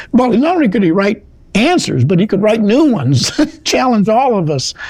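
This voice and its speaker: A man speaks with very wide swings in pitch. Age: 80s+. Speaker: retired lawyer, law school alumnus. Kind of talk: interview. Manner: halting.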